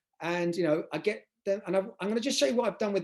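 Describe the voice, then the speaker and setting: The man speaks with lively intonation. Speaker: university teacher presenter. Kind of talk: online conference presentation. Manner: fast; hesitant with fillers.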